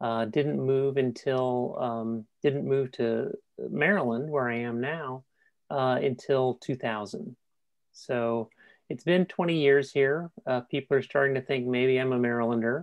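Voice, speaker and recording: Someone speaks at a fairly slow pace in a Californian accent. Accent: California. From California (San Jose). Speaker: transgender speaker and advocate. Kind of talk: personal testimony at a panel. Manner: halting with many fillers.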